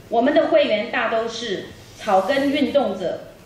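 A woman speaks in a high pitch with lively intonation. Light background noise and audible room echo are present. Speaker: event host. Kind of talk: press conference emcee speech. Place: hall.

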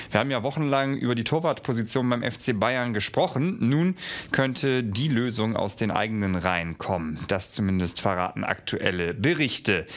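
Lively intonation from a man at a moderate pace. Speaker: news presenter. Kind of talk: news presentation. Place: studio.

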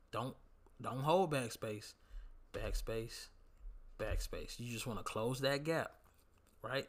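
On a very clean recording, a man's voice is heard with a silent background. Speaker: gaming YouTuber. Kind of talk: tutorial. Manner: casual.

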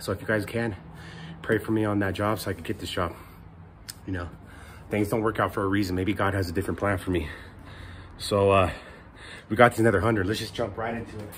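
Over light background noise, a man speaks at a very fast pace in a fairly low, somewhat breathy voice with monotone, flat intonation. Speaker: fitness vlogger. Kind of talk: casual vlog chat. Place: garden. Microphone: lapel.

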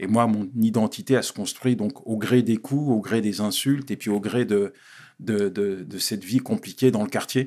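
A man's dark, mellow tone at a moderate pace, with fairly even intonation and a quiet background. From Paris suburbs (La Courneuve, Vitry), Ivorian father; Paris. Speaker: pastor and speaker; pastor, speaker. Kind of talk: interview, life story testimony. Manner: halting, repeats words. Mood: reflective, telling life story. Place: studio. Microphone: studio mic.

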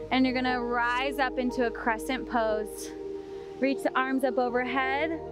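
A woman's voice with clear music in the background and a dry sound with no echo. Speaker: yoga instructor. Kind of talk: tutorial. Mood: calm, encouraging. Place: beach. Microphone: headset.

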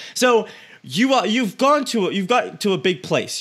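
An energetic man's voice on a very clean recording with a silent background. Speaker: podcast host. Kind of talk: interview.

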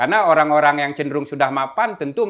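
In a quiet background, a man speaks with a fairly high pitch and ordinary pitch variation. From Jakarta, Indonesia (Senen, Central Jakarta); Indonesia. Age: young. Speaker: activist and museum founder. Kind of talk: interview. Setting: at his museum. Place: home room.

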